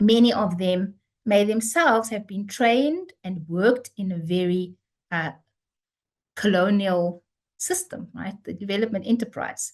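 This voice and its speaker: A woman with a South African accent speaks at a medium pitch. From South Africa, Cape Town. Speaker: theology professor. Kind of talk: lecture.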